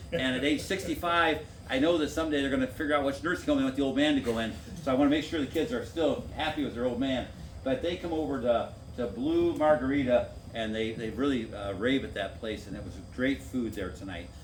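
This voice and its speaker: Over audible room echo, a man with an American accent speaks very fast at a medium pitch with ordinary pitch variation. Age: 60s. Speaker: former city council member. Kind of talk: public meeting talk.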